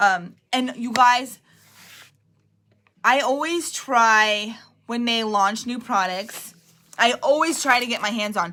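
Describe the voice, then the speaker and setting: Loud and at a very slow pace, a woman speaks with a bright, sharp tone and fairly high pitch, ordinary pitch variation, and long, frequent pauses. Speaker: direct sales team leader. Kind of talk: livestream motivational talk.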